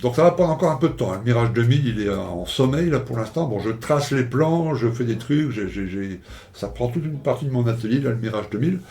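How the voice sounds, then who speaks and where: Amid audible room echo and noticeable background noise, a man speaks very fast at a medium pitch with lively intonation. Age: 60s. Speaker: scale model YouTuber. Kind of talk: casual vlog monologue. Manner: hesitant, many fillers and repetitions.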